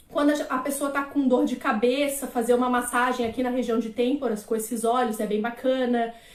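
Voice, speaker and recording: The speech moves at a fairly quick pace in a flat monotone, with hardly any pauses. Noticeable background noise and audible room echo are present. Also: woman, high pitch for a woman. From Florianópolis, Brazil. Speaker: aromatherapist / naturologist. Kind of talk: live-stream lecture. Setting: live stream.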